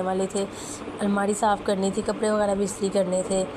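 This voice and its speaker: Noticeable background noise behind a woman's voice at medium pitch. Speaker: family vlogger. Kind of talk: vlog narration. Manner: casual.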